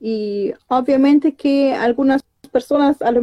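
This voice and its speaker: A woman's voice with a dark, mellow tone moves at a very slow pace with ordinary pitch variation. The sound is dry and close, with no echo. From Germany. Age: 30s. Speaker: researcher and language teacher. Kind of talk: interview. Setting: live stream. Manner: halting.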